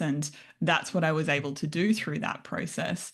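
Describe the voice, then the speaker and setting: An Australian accent marks this woman's very deep, low voice, delivered at a moderate pace with fairly even intonation against a quiet background. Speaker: functional nutritionist. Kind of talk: interview.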